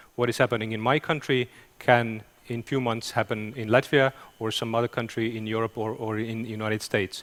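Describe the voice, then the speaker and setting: A man at a moderate pace, medium in pitch. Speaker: intelligence official. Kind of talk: conference talk. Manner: halting.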